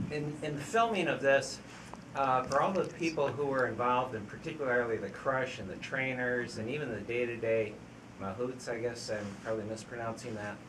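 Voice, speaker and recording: A man at medium pitch, fairly quick with ordinary pitch variation, amid noticeable background noise and audible room echo. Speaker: audience member. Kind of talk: audience question.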